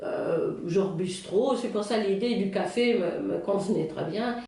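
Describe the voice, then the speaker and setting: A woman with a German accent speaks at a very slow pace with fairly even intonation. Audible room echo and noticeable background noise fill the recording. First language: German (speaking French). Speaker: Alzheimer café organizer. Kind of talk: interview. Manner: halting, many fillers.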